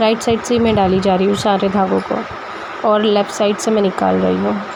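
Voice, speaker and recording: A woman speaks at a moderate pace with very even loudness. Room echo is audible, and background noise is noticeable. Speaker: embroidery tutorial creator. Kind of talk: tutorial. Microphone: phone mic, no external microphone.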